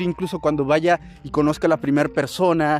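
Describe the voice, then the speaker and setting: A man talks at a fairly quick pace with a Mexican accent. His pitch sits fairly high. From Mexico. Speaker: podcast host, entrepreneur. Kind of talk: casual storytelling monologue. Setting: apartment after the gym. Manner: animated; fillers and repetitions.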